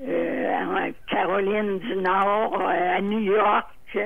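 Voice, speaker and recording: A woman's voice at medium pitch. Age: 80s+. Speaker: retired legal secretary. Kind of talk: interview answer.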